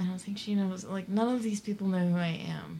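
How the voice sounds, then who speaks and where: A woman's unremarkable speaking voice, medium pitch, fairly even intonation. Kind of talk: casual chat. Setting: studio.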